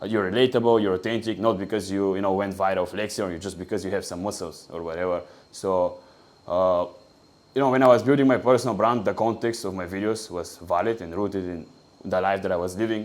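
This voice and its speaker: With a Bulgarian accent, a man speaks very fast in a fairly low pitch, his intonation fairly even. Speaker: online business coach. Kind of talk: tutorial.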